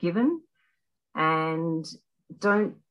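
Speaking at a very slow pace, a woman with an Australian accent has a fairly low pitch, a bright, sharp tone and ordinary pitch variation. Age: 60s. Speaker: retired health worker. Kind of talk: casual interview. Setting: podcast interview.

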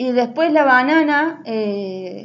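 High in pitch, the woman's voice has lively intonation. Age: 20s. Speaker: podcaster. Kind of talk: casual monologue. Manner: halting.

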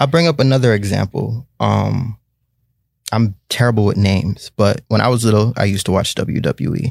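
Speaking in a normal speaking voice at a moderate pace, a man has a fairly low pitch, ordinary pitch variation and very even loudness. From Jamaican-American, Caribbean heritage. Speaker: podcast co-host. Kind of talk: casual chat.

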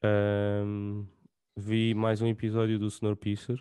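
Speaking in a European Portuguese accent at a very slow pace, a man with a fairly low pitch and a dark, mellow tone keeps a flat monotone, the sound dry and close with no echo against a quiet background. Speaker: podcast host. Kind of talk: casual chat.

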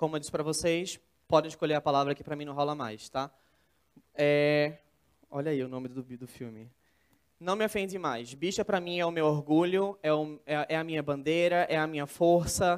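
A man with a plain, everyday voice speaks at a moderate pace and fairly high pitch, using ordinary pitch variation. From São Paulo state interior, Brazil. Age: 20s. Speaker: speaker, student and documentary maker. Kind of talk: TEDx talk. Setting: stage with audience.

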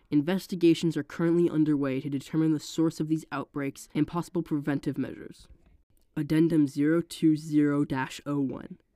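At a fairly quick pace, a woman with a very deep, low pitch and a dark, mellow tone speaks in a monotone, flat intonation on a very clean recording with a silent background. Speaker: narrator. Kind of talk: reading aloud.

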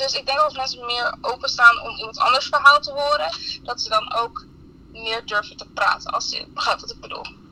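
Over noticeable background noise, a woman speaks at a moderate pace in a raised, projected voice with a high pitch, lively intonation and big swings in loudness. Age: 20s. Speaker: student. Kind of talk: interview.

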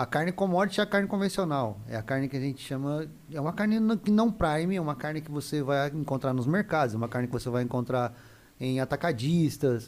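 Lively intonation marks a man speaking at a very fast pace. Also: fairly high pitch for a man. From Mato Grosso do Sul, Brazil (Camapuã). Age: 40s. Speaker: meat business co-founder. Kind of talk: casual interview chat.

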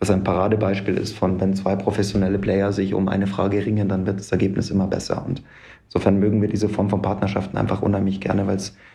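A man's fairly low voice, very fast and monotone with flat intonation, with audible room echo. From Munich, Bavaria. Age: 30s. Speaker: real estate developer. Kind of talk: interview. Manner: frequent filler sounds (ähm).

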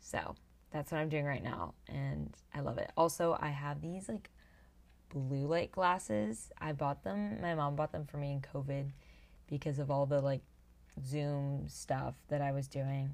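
A woman talks at a fairly slow pace in a raspy voice. Her pitch is very deep and low, with ordinary variation. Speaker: podcaster. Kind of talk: casual solo podcast monologue. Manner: chatty, enthusiastic.

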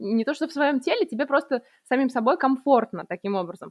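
The intonation rises and falls in a lively way. The speaker is a woman with a high voice. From Russia. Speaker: podcast co-host. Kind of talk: casual chat.

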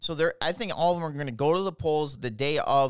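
Speaking at a moderate pace on a very clean recording with a silent background, a man with an Upper Midwest US accent uses a fairly high pitch and lively intonation. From Minnesota, Twin Cities. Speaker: political podcaster. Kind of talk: solo political commentary monologue. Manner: animated.

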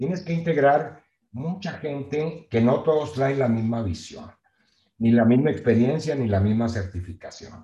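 Somewhat breathy, a man's fairly high voice has a dark, mellow tone and lively intonation at a fairly slow pace. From Mexico, Nueva Rosita, Coahuila. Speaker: real estate project management company founder. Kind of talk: interview.

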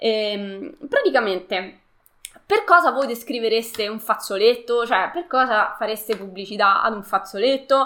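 A woman's fairly high, bright, sharp voice, with ordinary pitch variation and big swings in loudness. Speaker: live streamer. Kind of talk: live stream talk to viewers. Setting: online live stream. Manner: fast, multitasking, informal.

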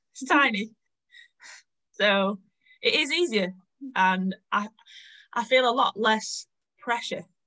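With a Lancashire accent, a woman talks very slowly with long, frequent pauses, her fairly high, bright and sharp voice carrying lively intonation. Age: 20s. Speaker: cafe owner. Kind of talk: casual interview.

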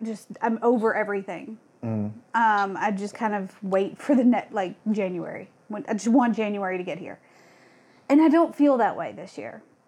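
A woman with an ordinary speaking voice talks at a moderate pace, with ordinary pitch variation and big swings in loudness. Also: medium pitch for a woman. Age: 30s. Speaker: podcast co-host. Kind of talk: casual chat.

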